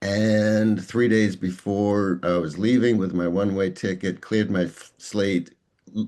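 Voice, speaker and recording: A man with a dark, mellow tone and fairly low pitch speaks at a fairly slow pace with fairly even intonation. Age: 60s. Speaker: executive coach and author. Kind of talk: interview. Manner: halting.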